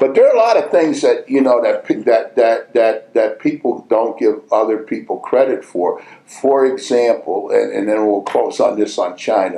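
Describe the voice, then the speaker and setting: Noticeable background noise beneath a man's moderately paced speech. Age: 70s. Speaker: basketball coach. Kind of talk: casual chat. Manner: halting, many repetitions.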